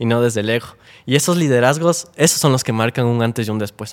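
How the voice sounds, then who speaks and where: This man's pitch is medium, with ordinary variation, and he talks at a fairly quick pace. He has an ordinary speaking voice. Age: 20s. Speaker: youth activist. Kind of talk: interview.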